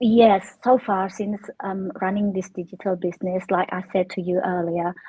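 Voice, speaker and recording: Somewhat breathy, a woman talks at a moderate pace and medium pitch with fairly even intonation. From Indonesia, Jakarta. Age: 50s. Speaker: online business owner. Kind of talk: casual chat. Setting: live stream.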